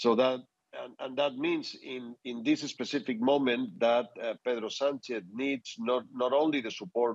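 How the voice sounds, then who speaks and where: In a dry sound with no echo and a quiet background, a man with a Spanish accent speaks at a moderate pace with ordinary pitch variation. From Spain. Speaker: political adviser; guest. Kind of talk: news interview. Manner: halting, many fillers and repetitions. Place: home room. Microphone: earbuds.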